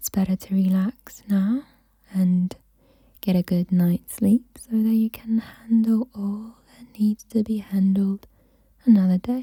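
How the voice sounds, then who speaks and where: This soft-spoken woman has a dark, mellow, somewhat breathy tone at medium pitch, delivered in a flat monotone at a fairly slow pace. Her loudness swings widely, and the sound is dry and close with no echo. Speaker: mental health YouTuber making ASMR. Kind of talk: ASMR soft-spoken relaxation guidance. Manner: soft-spoken, calming.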